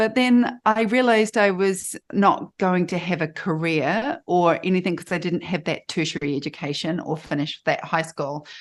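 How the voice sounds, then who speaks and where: With a New Zealand accent, a woman speaks at a fairly low pitch with ordinary pitch variation, hardly pausing, against a quiet background. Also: moderate pace. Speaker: photographer and life coach. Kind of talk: interview.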